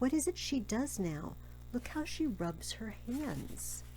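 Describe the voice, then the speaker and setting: Someone does a put-on character voice at a fairly slow pace. Background noise is clearly audible. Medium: read story. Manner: measured, grave.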